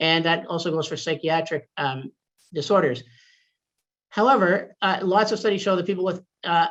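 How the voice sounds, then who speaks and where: The man's pitch is high, with ordinary variation. He leaves long, frequent pauses. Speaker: psychiatrist giving a lecture. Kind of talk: lecture. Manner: fast; hesitant with fillers and repetitions.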